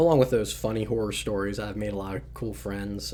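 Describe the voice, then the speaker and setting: A fairly quick delivery in an American accent, with audible room echo. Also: man. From US, southern Maryland. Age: 20s. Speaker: podcaster. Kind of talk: casual monologue. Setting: home studio. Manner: fast; hesitant, many fillers.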